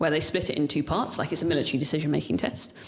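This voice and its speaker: This woman has a very deep, low voice. Her pitch moves up and down in an ordinary way. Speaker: ADHD leadership coach. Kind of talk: casual interview chat. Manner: fast.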